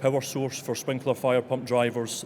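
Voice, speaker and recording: A man speaks with a Scottish accent. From Scotland. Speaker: engineer presenting at an industry conference. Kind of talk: conference presentation. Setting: conference stage with audience.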